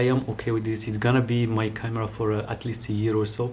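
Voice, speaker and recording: A man with a non-native accent talks at a very fast pace over noticeable background noise. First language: not English. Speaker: YouTuber reviewing gear. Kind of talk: casual unboxing vlog. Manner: halting, many fillers and restarts. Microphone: far from the camera; camera built-in mic.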